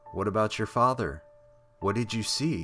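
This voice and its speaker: Music plays in the background as a man speaks. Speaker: horror story narrator. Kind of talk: horror story narration.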